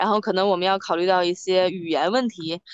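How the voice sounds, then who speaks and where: At a fairly quick pace, a woman speaks with medium pitch and an unremarkable speaking voice. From Hebei, China (family from Beijing). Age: 30s. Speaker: amateur sailor, former internet company employee. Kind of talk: interview. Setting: video call, outdoors on a harbour dock.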